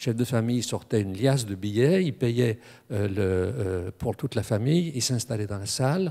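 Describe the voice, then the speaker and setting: With a dark, mellow tone, a man speaks at a moderate pace against a quiet background. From France, Strasbourg (Alsace); France. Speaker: academic speaker on boxing; speaker. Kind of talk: panel discussion. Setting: stage with audience. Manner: halting. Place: hall. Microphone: handheld.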